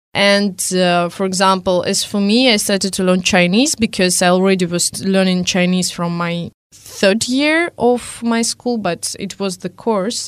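Speaking at a fairly slow pace with hardly any pauses, a woman has an unremarkable speaking voice, medium in pitch with ordinary pitch variation. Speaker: guest, language learner living abroad. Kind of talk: casual panel discussion. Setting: studio.

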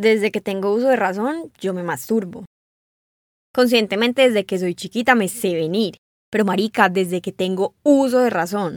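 The woman has a plain, everyday voice at medium pitch with ordinary pitch variation, speaking at a moderate pace in a very clean recording with a silent background and a dry, close sound with no echo. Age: 20s. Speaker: interviewee sharing personal story. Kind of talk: personal testimony. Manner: casual, colloquial.

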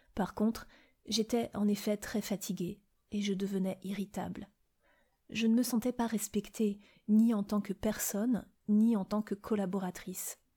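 In a very clean recording with a silent background, a woman with a dark, mellow tone and a somewhat breathy voice talks in a monotone, flat intonation, leaving long, frequent pauses. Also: medium pitch for a woman, fairly slow pace. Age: 40s. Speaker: podcast host sharing personal experience. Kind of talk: personal testimony.

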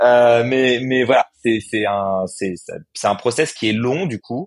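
A man speaks at a fairly slow pace in a plain, everyday voice. His pitch variation is ordinary. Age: 30s. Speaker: startup co-founder. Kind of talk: interview.

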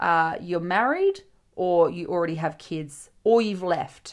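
A woman's medium-pitched voice in an Australian accent, animated and with lively intonation, at a moderate pace in a very clean recording with a silent background. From Western Australia. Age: 20s. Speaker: podcast host, TikTok creator. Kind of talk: solo casual monologue. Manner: animated, chatty.

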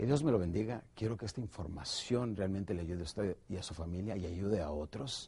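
The man's intonation is lively. His voice is somewhat breathy. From northern Mexico, Ciudad Juárez, Chihuahua. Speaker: sales trainer. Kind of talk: motivational sales training. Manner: animated.

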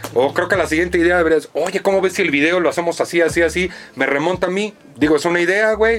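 Over noticeable background noise, a man talks at a very fast pace and high pitch, with very even loudness and ordinary pitch variation. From US, New York (Spanish Harlem). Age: 30s. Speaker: music producer. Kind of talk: casual chat.

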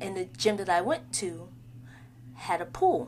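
Somewhat breathy, a woman speaks at a fairly slow pace in a fairly low pitch, her pitch swinging very widely. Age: 30s. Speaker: podcast host. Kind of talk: casual solo monologue. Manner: rambling, conversational.

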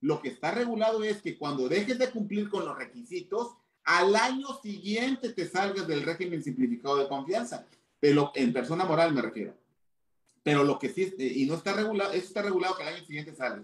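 Pitching high and swinging very widely up and down, a man talks at a fairly quick pace. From Mexico, Chiapas. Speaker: tax and anti-money-laundering specialist. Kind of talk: interview. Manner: halting.

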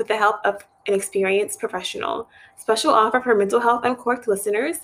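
A woman speaks fairly quickly at a fairly high pitch. She has an ordinary speaking voice with fairly even intonation. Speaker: social worker, podcast co-host. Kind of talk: casual podcast conversation.

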